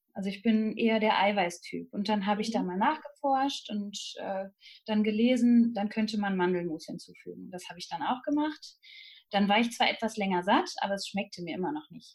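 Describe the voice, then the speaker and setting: Somewhat breathy, fairly high-pitched female speech with ordinary pitch variation, delivered at a moderate pace. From Germany, Münsterland. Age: 30s. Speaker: nutrition counselor. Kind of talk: interview. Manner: hesitant with many fillers.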